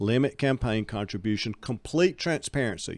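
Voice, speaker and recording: Ordinary pitch variation and a moderate pace come through on a very clean recording with a silent background. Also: man. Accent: Alabama. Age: 60s. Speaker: political candidate. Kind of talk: interview. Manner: animated.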